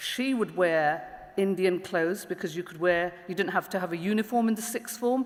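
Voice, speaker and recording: With a London accent, a woman speaks at a medium pitch with ordinary pitch variation. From East London, England. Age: 40s. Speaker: public prosecutor and diversity lead. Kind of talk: panel talk.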